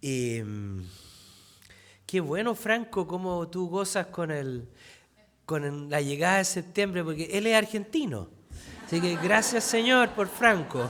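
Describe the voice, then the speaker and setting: A man with a high pitch speaks very slowly, leaving long, frequent pauses. His tone is bright and sharp, his intonation lively. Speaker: pastor. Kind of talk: sermon.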